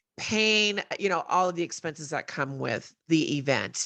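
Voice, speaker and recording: Against a quiet background, a woman with a General American accent speaks loudly in a bright, sharp tone with very wide pitch swings. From Colorado. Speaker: entrepreneur, event founder. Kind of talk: podcast interview.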